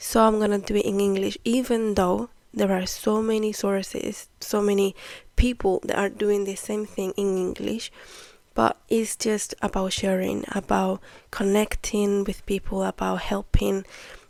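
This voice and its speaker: A woman at a medium pitch, fairly slow and monotone with flat intonation, in a very clean recording with a silent background. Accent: Spanish. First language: Spanish. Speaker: podcast host, spiritual teacher. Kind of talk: casual monologue, spiritual talk. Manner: hesitant, conversational.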